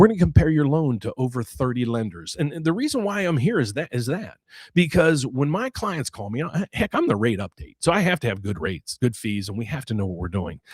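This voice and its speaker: A man with an American accent talks at a fairly quick pace with hardly any pauses, his medium pitch swinging very widely and touched by vocal fry. The sound is dry and close with no echo, a very clean recording with a silent background. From West Virginia, US. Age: 60s. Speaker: mortgage loan officer and finance YouTuber. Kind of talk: live Q&A market commentary with self-promotion. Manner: casual, repetitive with false starts.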